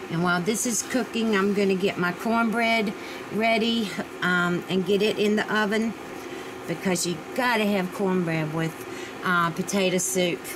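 A woman with an American accent speaks at a moderate pace. Her intonation is fairly even, with noticeable background noise. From Virginia. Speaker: home cooking vlogger. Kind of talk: cooking tutorial. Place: kitchen. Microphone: camera far.

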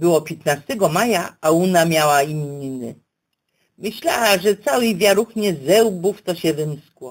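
Her pitch swinging very widely, a woman speaks at a very slow pace. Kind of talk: dialect story reading.

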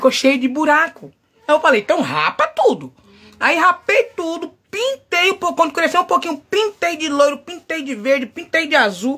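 At a fairly slow pace, a woman speaks in an animated tone. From Brazil, São Paulo. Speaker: livestreamer / social media personality. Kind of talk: casual live chat. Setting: home livestream. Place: home room. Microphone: phone near.

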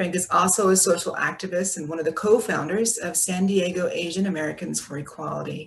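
A woman's unremarkable speaking voice, fairly low in pitch, fairly quick, with fairly even intonation. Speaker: moderator. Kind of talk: moderated Q&A. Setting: video call. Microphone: video call.

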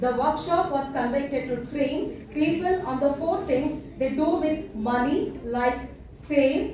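A very slow voice with a Kannada accent and ordinary pitch variation, amid strong room echo and light background noise. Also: woman. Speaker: professor and master of ceremonies. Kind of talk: formal event introduction. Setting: college auditorium with student audience. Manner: formal. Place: hall. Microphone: pa.

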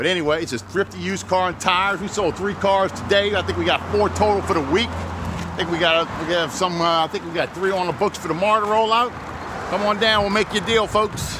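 Over noticeable background noise, a man uses a raised, projected voice at a fairly quick pace with fairly even intonation. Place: street. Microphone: phone near.

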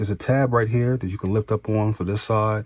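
A man speaks with a fairly low, somewhat breathy voice. His pace is moderate. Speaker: tech YouTuber doing laptop repair. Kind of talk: tutorial. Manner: casual, conversational.

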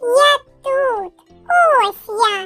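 Put-on character voice, squeaky and extremely high in pitch, with faint music in the background

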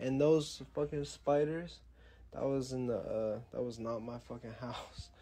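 The man here speaks at a fairly slow pace. There is light background noise. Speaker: live streamer. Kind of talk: casual livestream chat. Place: home room. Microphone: phone near.

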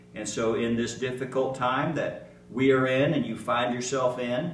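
A man's voice at a moderate pace, with fairly even intonation, light background noise and audible room echo. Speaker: pastor. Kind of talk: sermon. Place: church. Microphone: podium.

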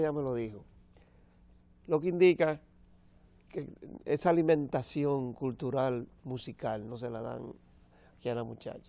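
A man's dark, mellow voice at medium pitch with ordinary pitch variation. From Dominican Republic. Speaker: opera tenor; TV guest. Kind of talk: TV interview. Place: studio. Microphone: lapel.

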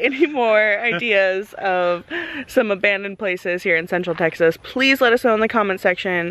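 At a fairly slow pace, a woman talks in a dry sound with no echo. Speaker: vlogger host. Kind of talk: casual vlog chat. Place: open country. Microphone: phone near.

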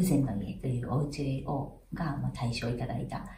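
There is audible room echo around a woman's voice. Light background noise sits underneath. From Hiroshima, Japan. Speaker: architect. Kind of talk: interview answer. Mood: calm, friendly. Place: home room.

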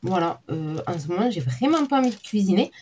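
A somewhat breathy woman at a fairly slow pace. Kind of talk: casual vlog chat. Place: home room.

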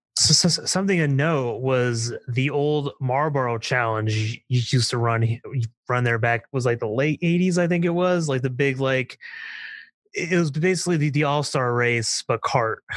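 An unremarkable speaking voice with an American accent moves at a moderate pace, keeping very even loudness and ordinary pitch variation. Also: man, medium pitch for a man. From eastern Pennsylvania, Nazareth. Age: 20s. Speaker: racetrack preservation activist. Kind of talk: casual interview.

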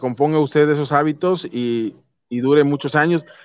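This is a normal speaking voice with fairly even intonation. The sound is dry, with no echo. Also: man. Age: 30s. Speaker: YouTube channel host interviewer. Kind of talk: interview. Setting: online call. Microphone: video call.

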